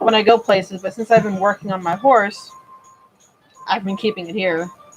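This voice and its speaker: Music plays in the background while a woman of medium pitch speaks at a moderate pace with fairly even intonation. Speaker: model horse customizer. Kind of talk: live stream tutorial. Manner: casual, with fillers.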